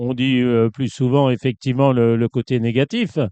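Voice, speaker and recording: A man's dark, mellow tone in a dry, close sound with no echo, over a quiet background. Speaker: horse racing columnist. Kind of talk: interview.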